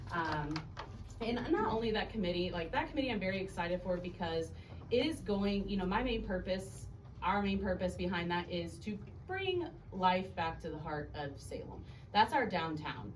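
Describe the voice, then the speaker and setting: With noticeable background noise and audible room echo, a woman with an American accent speaks at a moderate pace with lively intonation. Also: medium pitch for a woman. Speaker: alderwoman, city council member. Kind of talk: city council meeting report. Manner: loud.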